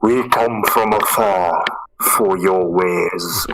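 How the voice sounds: A put-on, raspy character voice from a man, fairly low in pitch for a man, very slow, with sound effects in the background.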